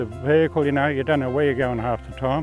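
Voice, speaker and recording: The speaker talks at a very fast pace with an Australian accent and ordinary pitch variation. Music plays in the background. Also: man. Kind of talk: interview answer. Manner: casual, chatty.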